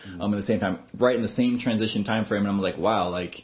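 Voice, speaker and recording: A man with an American accent speaks in a normal speaking voice, fairly low in pitch, with fairly even intonation. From Texas. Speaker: student pastor. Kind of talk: interview. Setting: office.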